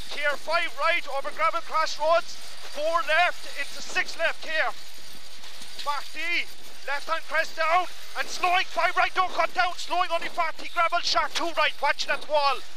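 Over noticeable background noise, a man talks in an extremely high pitch. His intonation is monotone and flat, and the sound is dry with no echo. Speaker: rally co-driver. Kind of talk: rapid-fire rally pacenotes read over in-car intercom at full speed. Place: car. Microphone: headset.

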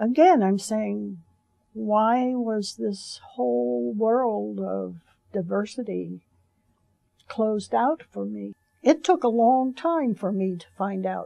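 With an American accent, the speaker goes at a very slow pace with long, frequent pauses and big swings in loudness, in a dry sound with no echo over a quiet background. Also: woman. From US South. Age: 70s. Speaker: civil rights activist. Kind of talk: interview, personal reminiscence. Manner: halting, with frequent fillers and repetitions. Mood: reflective, reminiscing. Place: studio.

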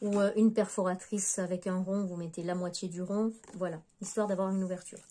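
A woman's medium-pitched voice, dark and mellow in tone, at a fairly quick pace with little pitch movement.

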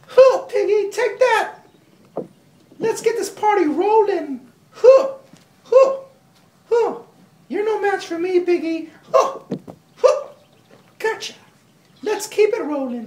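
An extremely high-pitched cartoonish character voice moves at a fairly slow pace, broken by long, frequent pauses. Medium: puppet. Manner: playful, energetic.

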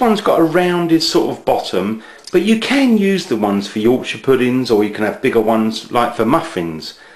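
Fairly quick speech from a man, with audible room echo. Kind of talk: tutorial. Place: kitchen. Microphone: camera far.

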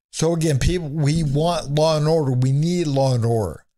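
A man talks at a fairly slow pace in a dark, mellow, somewhat breathy voice. His pitch varies in an ordinary way over a quiet background. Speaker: remote guest or commentator. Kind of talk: political commentary. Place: home room. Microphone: studio mic.

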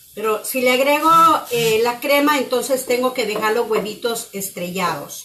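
A woman speaks at a moderate pace with ordinary pitch variation. Her loudness stays very even. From Guatemala. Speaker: cooking channel host. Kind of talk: live cooking demonstration. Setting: home kitchen, live stream. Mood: warm, cheerful. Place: kitchen. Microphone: phone near.

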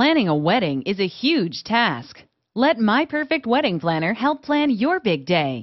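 With an enthusiastic tone and very wide pitch swings, a woman speaks at a fairly slow pace and fairly high pitch, her loudness very even. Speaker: promo narrator. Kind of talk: infomercial voiceover, upbeat sales pitch reading a feature list.

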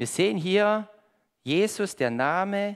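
A man speaks at a very slow pace with lively intonation. The background is quiet. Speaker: preacher. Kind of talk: sermon with audience interaction, riddle, Bible reading. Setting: church with congregation. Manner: animated, conversational, lively; warm, pleading at the close. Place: church.

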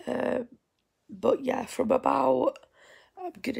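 A woman with a Yorkshire accent talks at a fairly slow pace. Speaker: vlogger. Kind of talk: vlog. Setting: at home.

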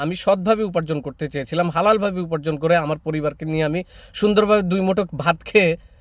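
Ordinary pitch variation in a man's high voice. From Bangladesh, Noakhali. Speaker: political commentary YouTuber. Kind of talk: opinion monologue to camera.

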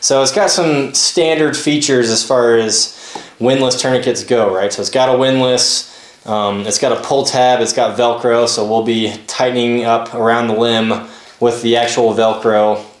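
A man at a moderate pace with fairly even intonation and audible room echo. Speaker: gear reviewer. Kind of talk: product review tutorial. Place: home room.

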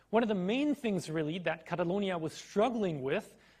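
A high-pitched man with a German accent at a moderate pace against a quiet background. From Germany. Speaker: university lecturer. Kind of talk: lecture. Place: hall.

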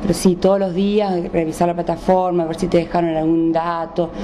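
A woman's fairly low voice, flat and monotone, at a moderate pace with light background noise. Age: 30s. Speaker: distance-learning student. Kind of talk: interview. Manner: halting. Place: home room. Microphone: handheld.

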